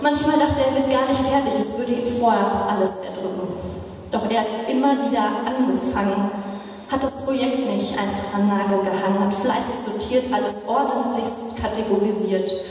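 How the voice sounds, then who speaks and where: Strong room echo surrounds the voice. The pace is moderate and the pitch varies in an ordinary way. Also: woman. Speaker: pastor. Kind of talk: poetry slam performance. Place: church.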